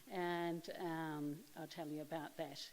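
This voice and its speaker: Her pitch is fairly low for a woman. She speaks at a fairly slow pace. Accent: New Zealand. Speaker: occupational therapist manager. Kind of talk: conference presentation. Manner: hesitant, many ums.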